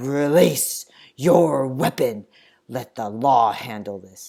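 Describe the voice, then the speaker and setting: Very slowly, a man speaks at medium pitch with lively intonation. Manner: commanding, authoritative.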